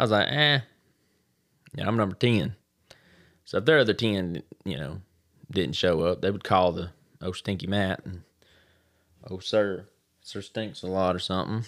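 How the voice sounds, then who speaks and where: On a very clean recording with a silent background, a man with a Southern US accent and a very deep, low pitch talks at a moderate pace with ordinary pitch variation and long, frequent pauses. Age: 30s. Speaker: podcast host. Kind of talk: casual monologue. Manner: animated; halting.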